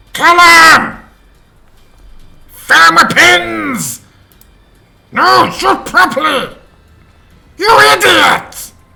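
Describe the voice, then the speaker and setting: A man shouting in a put-on character voice at an extremely high pitch, very slow, with long, frequent pauses. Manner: shouting, angry.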